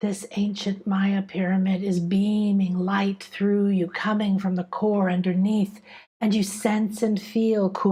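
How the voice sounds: What you hear is a natural reading voice.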